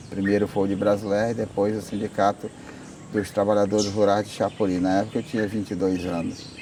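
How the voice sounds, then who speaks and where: A fairly low-pitched male voice, monotone and flat, at a fairly quick pace amid noticeable background noise. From Brazil, Acre (Amazon rubber region). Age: 60s. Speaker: rubber tapper union leader. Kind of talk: interview testimony.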